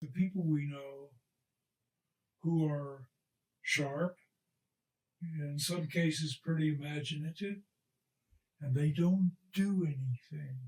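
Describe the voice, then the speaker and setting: Somewhat breathy and fairly high in pitch, a man speaks at a very slow pace with fairly even intonation and long, frequent pauses. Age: 80s+. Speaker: retired rocket scientist and racing driver. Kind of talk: interview answer.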